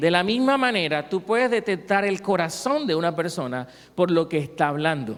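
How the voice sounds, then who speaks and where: A man speaks with a Cartagena Colombian accent. His pace is moderate and his intonation lively. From Colombia, Cartagena. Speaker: pastor. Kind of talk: sermon.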